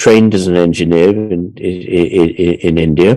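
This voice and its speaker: A man's fairly low-pitched voice with an English accent, at a fairly slow pace. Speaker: artist and speaker. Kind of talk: conference talk. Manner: halting.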